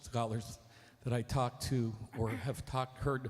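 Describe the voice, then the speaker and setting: The man's voice comes across as somewhat breathy. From Korea. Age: 60s. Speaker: audience member asking a question. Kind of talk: audience question at a lecture Q&A. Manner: halting, with many fillers.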